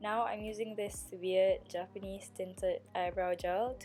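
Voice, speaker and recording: A woman talks fairly slowly. Behind her, music plays. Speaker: beauty vlogger. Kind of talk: makeup tutorial voiceover. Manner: casual, chatty.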